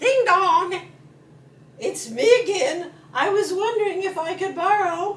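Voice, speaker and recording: Putting on a character voice, a woman talks fairly slowly at an extremely high pitch. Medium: read story. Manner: genteel, chummy.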